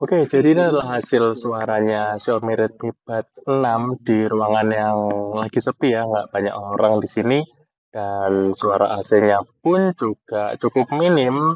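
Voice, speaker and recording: This man talks fairly slowly in a medium pitch, and his pitch varies in an ordinary way. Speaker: tech reviewer. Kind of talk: microphone test demo. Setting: quiet room. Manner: soft-spoken.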